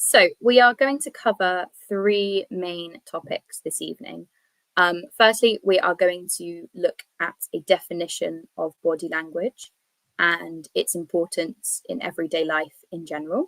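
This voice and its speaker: This woman has a British accent and a fairly slow pace, with big swings in loudness. The sound is dry and close, with no echo. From England. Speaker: English teacher. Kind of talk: online presentation. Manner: clear, measured delivery for learners.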